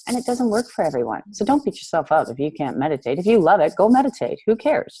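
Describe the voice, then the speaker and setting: A woman races along at a very fast pace with hardly any pauses, her medium-pitched, dark, mellow voice showing vocal fry and very wide pitch swings. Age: 40s. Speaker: spiritual coach. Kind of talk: coaching conversation.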